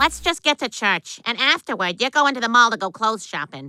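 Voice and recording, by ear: A female-sounding cartoonish character voice talks at a fairly quick pace. The pitch is fairly high.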